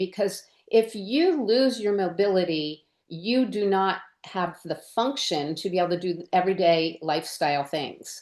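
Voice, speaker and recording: A woman speaks in a normal speaking voice at medium pitch, with lively intonation and a moderate pace. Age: 60s. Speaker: podcast host and occupational therapist. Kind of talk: interview podcast.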